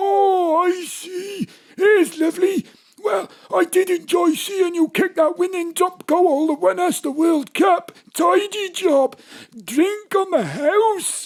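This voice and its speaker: Speaking at a fairly slow pace, a man puts on a character voice pitched extremely high. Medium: audio drama. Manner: obliging, friendly.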